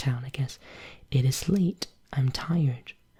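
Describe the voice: Ordinary pitch variation in plain reading aloud.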